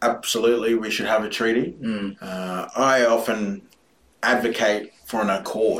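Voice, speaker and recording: Over noticeable background noise, a man with an Australian accent talks at a moderate pace, medium pitch and fairly even intonation. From Brisbane, Australia. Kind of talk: interview.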